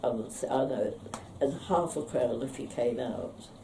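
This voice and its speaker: A woman speaks with a London accent. Room echo can be heard. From London area, England. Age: 80s+. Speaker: local elder sharing memories. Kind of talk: reminiscence interview. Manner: halting, with many pauses.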